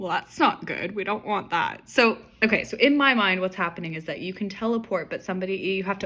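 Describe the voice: Text read aloud, plainly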